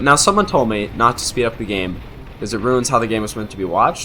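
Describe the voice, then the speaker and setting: Noticeable background noise accompanies a man who talks at a fairly quick pace, with a medium pitch and ordinary pitch variation. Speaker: game commentator. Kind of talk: live game commentary. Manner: slurring words; halting, many fillers.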